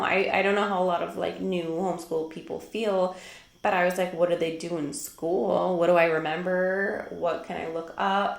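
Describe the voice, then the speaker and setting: With a strong Minnesotan accent, a woman talks at a moderate pace in a medium pitch with ordinary pitch variation, amid audible room echo and noticeable background noise. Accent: thick Minnesota. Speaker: homeschool vlogger. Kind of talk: casual talk to camera. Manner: chatty, many fillers.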